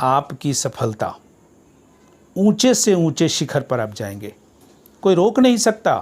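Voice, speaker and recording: A man's high voice with very wide pitch swings, in a very clean recording with a silent background. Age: 60s. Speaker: retired teacher. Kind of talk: speech. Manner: formal.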